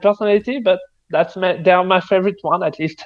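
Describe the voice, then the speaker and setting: A man with a French accent talks fairly quickly in a high pitch. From France. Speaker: game developer. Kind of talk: casual chat.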